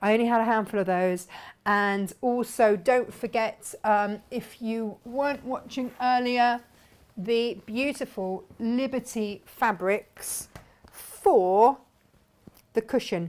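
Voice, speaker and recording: Very slow speech from a woman at a fairly high pitch with ordinary pitch variation, on a very clean recording with a silent background. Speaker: sewing and quilting teacher. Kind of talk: live stream tutorial and viewer chat. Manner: casual, chatty.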